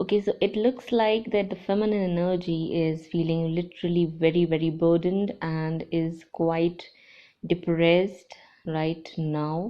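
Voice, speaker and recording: It is an ordinary speaking voice with fairly even intonation. The pace is fairly slow. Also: woman, fairly low pitch for a woman. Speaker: tarot reader and channeler. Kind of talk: tarot reading monologue.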